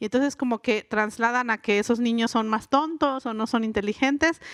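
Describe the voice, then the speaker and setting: Speaking at a fairly quick pace, a woman with a fairly high pitch and ordinary pitch variation sounds dry and close, with no echo. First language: Mixe (speaking Spanish). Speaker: writer and linguist. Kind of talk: live interview. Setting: stage with audience at a book fair.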